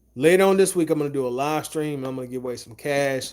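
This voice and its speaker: Fairly high-pitched male voice with an American accent and ordinary pitch variation. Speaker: real estate wholesaler, YouTuber. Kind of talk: live stream chat, reading comments. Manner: casual, rambling.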